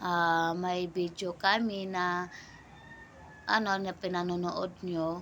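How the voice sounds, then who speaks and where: A woman speaks in a fairly low pitch with a monotone, flat intonation. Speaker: small vlogger. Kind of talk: casual vlog talk to camera. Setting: talking to camera. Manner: halting, many fillers.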